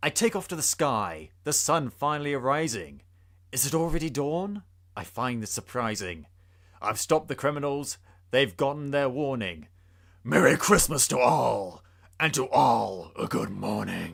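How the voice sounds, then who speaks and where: A put-on character voice from a man, gruff and growling, medium in pitch, with very wide pitch swings at a moderate pace. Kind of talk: dramatic rhyming reading. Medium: read story. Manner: gruff, growling.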